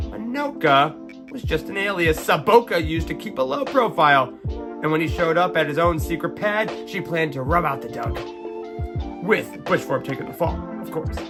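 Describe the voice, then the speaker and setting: With music in the background, the man's speech moves at a moderate pace. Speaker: podcast host. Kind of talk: bedtime story reading. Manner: dramatic.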